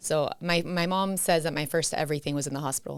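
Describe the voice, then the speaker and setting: A woman with an American accent speaks at a very deep, low pitch, her intonation fairly even. The recording is very clean, with a silent background. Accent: Miami accent, once strong, now lighter. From Miami, Florida. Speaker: podcast guest, spouse of host. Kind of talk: casual chat. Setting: home studio recording with cameras.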